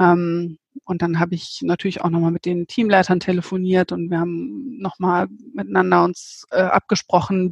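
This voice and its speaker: Here is an ordinary speaking voice from a woman, pitched fairly low with fairly even intonation. The sound is dry and close, with no echo. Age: 30s. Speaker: managing director of a local online news platform. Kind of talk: interview. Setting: remote call from home office.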